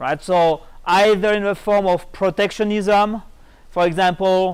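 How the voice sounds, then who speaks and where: A high-pitched man in a French accent talks at a fairly slow pace on a very clean recording with a silent background. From France. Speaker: economics professor. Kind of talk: lecture.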